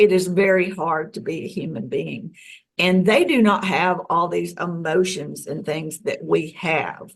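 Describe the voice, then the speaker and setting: This woman has an American accent and a fairly low pitch. She talks at a fairly slow pace with vocal fry. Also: ordinary pitch variation. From US South. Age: 60s. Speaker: UFO experiencer. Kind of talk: interview.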